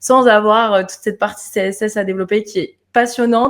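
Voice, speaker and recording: In a very clean recording with a silent background, a woman talks at a moderate pace with fairly even intonation. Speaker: web designer. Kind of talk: interview.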